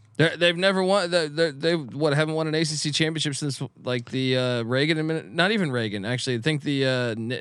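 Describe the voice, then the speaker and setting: A man talks at a very fast pace, with ordinary pitch variation. Noticeable background noise can be heard behind him. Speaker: college football analyst. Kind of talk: casual chat. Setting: studio.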